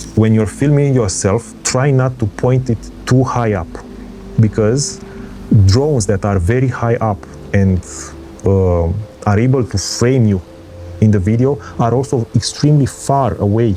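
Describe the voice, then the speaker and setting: Over music in the background, a man talks at a fairly slow pace with ordinary pitch variation, very even loudness, and long, frequent pauses. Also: medium pitch for a man. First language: not English. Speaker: travel vlogger. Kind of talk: tutorial. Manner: halting.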